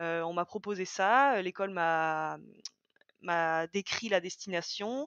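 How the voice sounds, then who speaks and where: Very slow speech from a woman at medium pitch, dry and close with no echo, over a quiet background. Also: ordinary pitch variation. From France, Auvergne (Haute-Loire, near Brioude). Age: 20s. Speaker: former business student, school staff member. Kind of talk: podcast interview. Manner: hesitant, many fillers.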